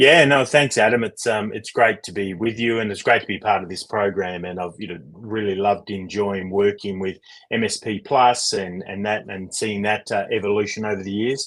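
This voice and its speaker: Loudness swings widely while the intonation stays fairly even. The pace is moderate, with hardly any pauses. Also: man, fairly low pitch for a man. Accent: Australian. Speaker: leadership coach. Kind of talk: interview.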